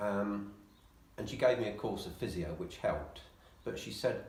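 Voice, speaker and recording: Against noticeable background noise and audible room echo, a man with an English accent speaks at a moderate pace and a fairly low pitch. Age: 60s. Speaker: patient. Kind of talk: interview.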